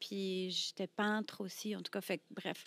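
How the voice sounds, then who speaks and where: Speech comes at a very slow pace, and the sound is dry with no echo. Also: woman. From France, Brittany. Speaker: burlesque performer; podcast guest. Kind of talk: casual interview. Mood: reflective storytelling. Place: studio. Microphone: studio mic.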